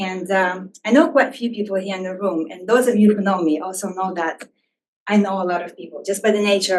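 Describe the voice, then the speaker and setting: Speaking at a fairly quick pace with a non-native accent, a woman uses a medium pitch and fairly even intonation, though her loudness swings widely. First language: not English. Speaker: researcher and harm reduction volunteer. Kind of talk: talk to a live audience. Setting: room with audience. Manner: hesitant, many fillers.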